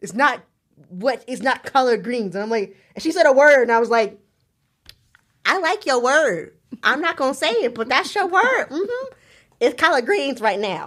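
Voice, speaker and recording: A woman speaks in a Southern US accent at a high pitch and a moderate pace. Her pitch swings very widely, and she takes long, frequent pauses. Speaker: podcast host. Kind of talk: casual chat. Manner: animated.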